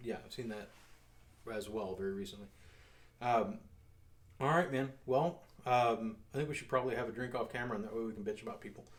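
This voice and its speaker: A man at a medium pitch speaks at a very fast pace with ordinary pitch variation. Long, frequent pauses break up his speech. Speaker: security company owner and show host. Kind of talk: casual chat over drinks.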